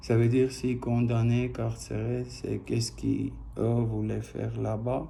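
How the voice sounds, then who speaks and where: At a fairly slow pace, a man speaks with a non-native accent. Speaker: private individual appealing to an official. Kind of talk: personal video appeal. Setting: video recording posted online. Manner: halting.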